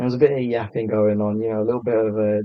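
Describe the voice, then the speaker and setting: This man speaks with a British accent at a fairly low pitch. His intonation is monotone and flat. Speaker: TikTok content creator. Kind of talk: casual chat. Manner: laid back.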